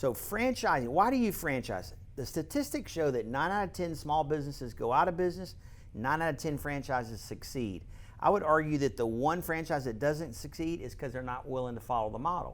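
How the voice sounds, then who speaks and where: A man talks with a fairly high pitch and lively intonation at a fairly quick pace. He has a normal speaking voice. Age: 60s. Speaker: franchise company founder. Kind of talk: casual interview.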